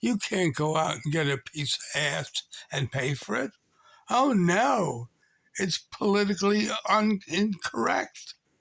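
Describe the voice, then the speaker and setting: Fairly slow and high-pitched, a man talks with very wide pitch swings. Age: 80s+. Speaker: video blogger. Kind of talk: political rant. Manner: animated.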